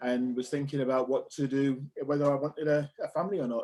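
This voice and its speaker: A man talks at a very fast pace. His voice is fairly high-pitched with a dark, mellow tone. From northern England. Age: 50s. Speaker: web business owner. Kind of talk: interview. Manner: halting, many fillers.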